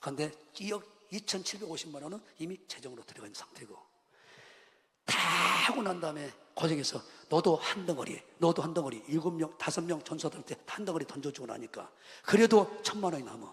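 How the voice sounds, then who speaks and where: In a Jeolla accent, the speaker talks at a fairly quick pace with an animated tone and lively intonation, over noticeable background noise. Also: man, high pitch for a man, big swings in loudness. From Jeolla region, Korea. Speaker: pastor. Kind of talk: sermon.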